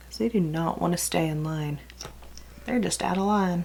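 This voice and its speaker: A woman is speaking. She has a slight Texas accent. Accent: slight Texas country twang. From California, then Texas from age 14. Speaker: beauty vlogger. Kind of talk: casual makeup tutorial. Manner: chatty, rambling.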